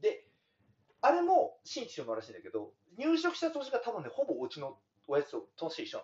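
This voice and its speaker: Moving at a fairly quick pace, a man speaks with big swings in loudness and long, frequent pauses. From Hokkaido. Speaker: dairy farmer. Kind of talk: casual chat. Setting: on-site at his farm.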